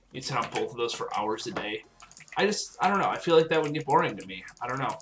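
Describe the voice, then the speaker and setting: The talking goes at a very fast pace over noticeable background noise. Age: 18. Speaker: gaming livestreamer. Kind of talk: casual livestream chat while gaming. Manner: halting, filler-heavy.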